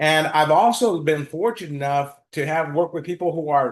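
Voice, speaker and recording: A man speaks with a plain, everyday voice, pitched fairly high, with an American accent. His pace is moderate and the background is quiet. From US, East Los Angeles. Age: 60s. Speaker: financial planner. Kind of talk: interview.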